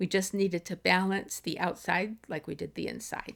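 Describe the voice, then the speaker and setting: A woman's normal speaking voice, medium in pitch and at a moderate pace, on a very clean recording with a silent background. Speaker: dot artist. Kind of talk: art tutorial narration.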